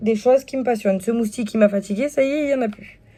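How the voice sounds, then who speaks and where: The pitch of the woman's voice varies in an ordinary way. Her tone is dark and mellow. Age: 20s. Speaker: YouTuber and stay-at-home mom selling wellness products. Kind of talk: casual vlog, product presentation. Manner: hesitant, many fillers.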